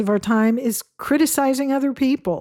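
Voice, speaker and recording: A woman's dark, mellow tone at a moderate pace, with ordinary pitch variation and a dry, close sound with no echo. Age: 60s. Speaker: podcast host. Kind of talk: solo podcast monologue.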